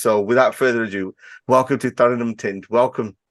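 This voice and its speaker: A man with a Birmingham accent speaks at a fairly quick pace, medium in pitch with ordinary pitch variation. The sound is dry and close with no echo over a quiet background. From Birmingham, England. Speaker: podcast host. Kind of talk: interview. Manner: fast-talking.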